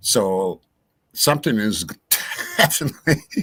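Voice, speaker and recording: At a very slow pace, a man with an American accent speaks in a bright, sharp tone at medium pitch, with ordinary pitch variation. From US Upper Midwest (Minnesota). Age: 60s. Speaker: true crime livestream host. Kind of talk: casual chat.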